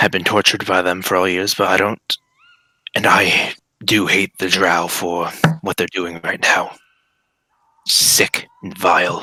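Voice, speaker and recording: In a raspy, put-on character voice, the speaker talks at a fairly slow pace with monotone, flat intonation and long, frequent pauses. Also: man, very deep, low pitch for a man. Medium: actual play. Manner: halting, hesitant.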